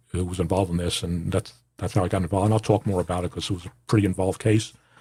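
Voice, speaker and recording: A man with a very deep, low pitch and an American accent, somewhat breathy, very fast, with fairly even intonation, on a very clean recording with a silent background. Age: 60s. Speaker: podcast host, former police officer. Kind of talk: personal monologue. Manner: halting, many fillers.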